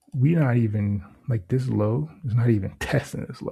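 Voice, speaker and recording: The speaker uses an animated tone at a fairly slow pace. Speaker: trader doing backtesting. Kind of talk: screen-share trading tutorial, thinking aloud. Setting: at home. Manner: casual, animated.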